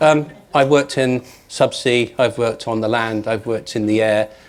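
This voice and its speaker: A man with a British accent, medium pitch and a moderate pace. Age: 50s. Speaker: telecoms security expert. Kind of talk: panel discussion. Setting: stage with audience. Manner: animated.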